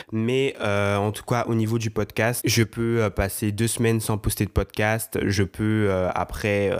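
A man speaks in a fairly low pitch. His intonation stays monotone and flat. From Guadeloupe. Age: young. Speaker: podcast host and comedy content creator. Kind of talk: casual solo monologue.

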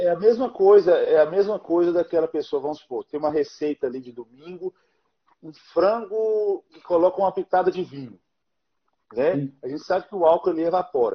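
Speaking at a moderate pace, a man with a high pitch and ordinary pitch variation shows big swings in loudness. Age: 30s. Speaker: pastor and live show host. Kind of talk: interview on live stream. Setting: Instagram live stream.

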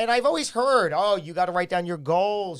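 With an American accent and lively intonation, a man talks at a fairly quick pace. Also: very clean recording, silent background. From New York. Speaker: podcast co-host. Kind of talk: casual chat.

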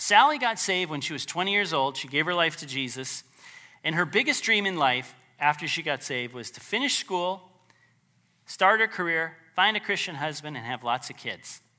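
A man's fairly high voice, warm and animated yet bright and sharp, with lively intonation and big swings in loudness. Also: moderate pace, very clean recording, silent background. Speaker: preacher. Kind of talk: sermon. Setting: church. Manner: animated, forceful, preacher in full flow, urgent and pleading; conversational, warm, with light humor.

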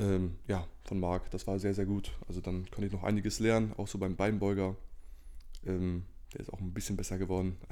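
A man speaks at a fairly quick pace with a very deep, low pitch and a dark, mellow tone. His intonation is monotone and flat, and room echo is audible. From northern Germany (Lower Saxony, Cloppenburg). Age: 20s. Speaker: natural bodybuilder and student. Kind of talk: casual interview chat. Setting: in the same room, sharing one microphone.

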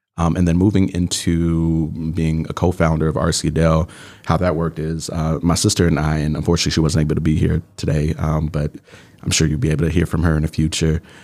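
A man speaks very fast in a very deep, low pitch with an American accent. His intonation is monotone and flat, and there is noticeable background noise. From US Midwest, Chicago South Side. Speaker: software engineer and startup co-founder. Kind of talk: interview.

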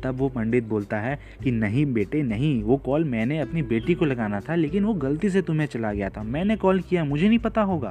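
Using a dark, mellow tone at a medium pitch, a man talks with very wide pitch swings and hardly any pauses. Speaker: podcast host and storyteller. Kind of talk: storytelling narration.

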